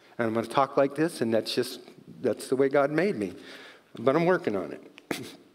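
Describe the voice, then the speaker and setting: Over noticeable background noise, a man at medium pitch speaks at a moderate pace with lively intonation. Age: 60s. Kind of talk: testimony. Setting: church.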